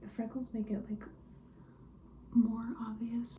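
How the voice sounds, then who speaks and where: The delivery comes at a moderate pace. The speaker is soft-spoken. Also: woman. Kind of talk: ASMR vlog, casual talk to camera. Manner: soft-spoken, personal attention.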